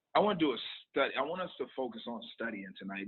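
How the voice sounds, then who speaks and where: Music plays in the background. The pitch varies in an ordinary way. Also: man. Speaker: Bible study leader. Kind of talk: Bible study / casual talk. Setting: restaurant (Denny's), livestream. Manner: loud; halting, many fillers.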